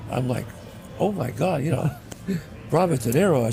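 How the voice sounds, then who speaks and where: Someone with an American accent speaks at a moderate pace with ordinary pitch variation amid noticeable background noise. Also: man. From the Bronx, New York. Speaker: actor and writer. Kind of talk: interview answer.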